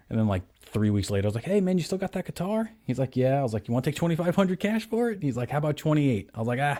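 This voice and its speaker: A man talks at a very fast pace in a medium pitch with a dark, mellow tone and very wide pitch swings, on a very clean recording with a silent background. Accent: New York. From New York, Staten Island. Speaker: guitar gear video host. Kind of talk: casual chat.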